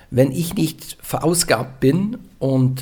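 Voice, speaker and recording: A man's somewhat breathy voice with a dark, mellow tone and a Norwegian accent, at a very slow pace. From western Norway. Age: 40s. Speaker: retired pastor. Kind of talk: interview.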